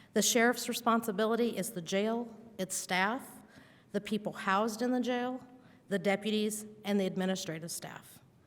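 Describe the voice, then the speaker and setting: Fairly high-pitched, a woman speaks with a Midwestern American accent and fairly even intonation. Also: moderate pace. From Indiana. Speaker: political candidate. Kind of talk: prepared statement. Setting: debate with audience.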